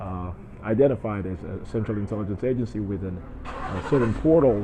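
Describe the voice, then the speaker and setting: Over noticeable background noise, a man with an American accent talks at a fairly quick pace in a fairly low pitch, with ordinary pitch variation and big swings in loudness. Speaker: vlogger. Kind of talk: personal video monologue. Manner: halting, many fillers and repetitions.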